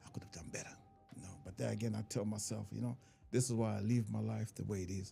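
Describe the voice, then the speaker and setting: A man with an African accent, fairly low-pitched, very fast, with fairly even intonation. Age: 50s. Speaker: comedian. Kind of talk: casual chat.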